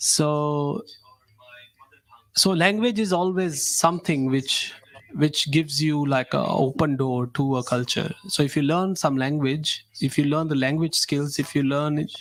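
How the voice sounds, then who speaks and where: A man with a Punjabi accent speaks at a fairly high pitch and a fairly slow pace, with ordinary pitch variation. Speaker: radio host. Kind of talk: radio interview. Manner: halting.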